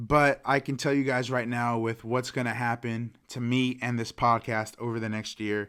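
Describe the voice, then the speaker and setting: A man with a medium-pitched voice speaks in a flat monotone, hardly pausing at all. The recording is very clean, with a silent background. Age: 20s. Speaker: podcast host. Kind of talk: motivational monologue. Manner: fast; casual, filler-heavy.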